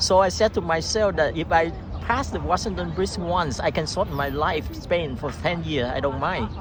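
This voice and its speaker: Against noticeable background noise and audible room echo, a man speaks at a moderate pace. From Vietnam. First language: Vietnamese. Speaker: immigrant interviewee. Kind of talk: interview. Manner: halting.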